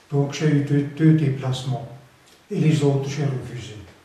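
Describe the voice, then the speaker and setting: Monotone, flat intonation from a man at a fairly slow pace, with audible room echo. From Alsace, France. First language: Alsatian (speaking French). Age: 80s+. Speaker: retired trade unionist. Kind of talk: interview. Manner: halting, repeats words.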